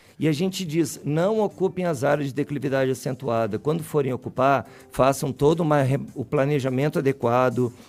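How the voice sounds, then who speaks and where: Music in the background and hardly any pauses. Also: man, fairly high pitch for a man, ordinary pitch variation, moderate pace. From Rio Grande do Sul, southern Brazil. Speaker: university professor, soil scientist. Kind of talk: radio interview. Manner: hesitant, repeats words.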